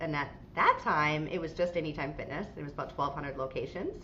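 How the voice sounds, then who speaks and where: Speaking with an American accent, a woman has a bright, sharp tone and ordinary pitch variation, with audible room echo. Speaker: franchise CEO. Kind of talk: podcast interview. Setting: video call.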